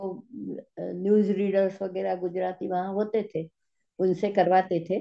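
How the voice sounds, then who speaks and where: A woman's medium-pitched voice in a Gujarati accent, monotone and flat in intonation. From India, Gujarat (Ahmedabad). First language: Gujarati (speaking Hindi). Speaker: physics teacher. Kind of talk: interview. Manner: halting.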